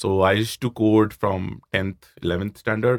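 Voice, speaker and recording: A man with an Indian accent speaks at a fairly low pitch. The recording is very clean, with a silent background. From Jaipur, India. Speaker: startup CEO and co-founder. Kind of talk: interview conversation. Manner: fast talker.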